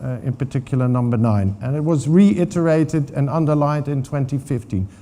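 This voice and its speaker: Speaking with a Dutch accent, a man uses a fairly high pitch and ordinary pitch variation at a moderate pace. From Netherlands. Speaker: water governance expert. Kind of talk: conference talk. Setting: stage with audience. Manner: hesitant, many fillers.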